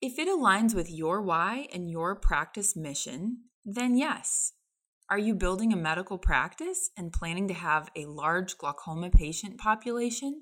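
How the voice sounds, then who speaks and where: A woman's normal speaking voice at a medium pitch and moderate pace, with lively intonation. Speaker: optometrist and practice owner. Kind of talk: reading aloud.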